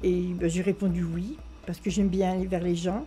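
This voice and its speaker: A dark, mellow, somewhat breathy voice moves at a moderate pace. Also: woman. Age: 70s. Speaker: local resident. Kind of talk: interview testimony.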